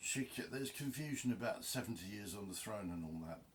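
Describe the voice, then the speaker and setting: A man speaks at a fairly quick pace with an English accent. His voice is somewhat breathy and fairly low in pitch. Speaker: video blogger. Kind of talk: casual monologue. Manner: rambling, unscripted.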